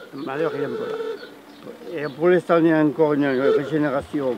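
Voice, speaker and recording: A man with a fairly high voice talks at a moderate speed, and noticeable noise runs underneath. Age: 60s. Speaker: retiree, vintage car enthusiast. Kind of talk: documentary interview. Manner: halting, many hesitations.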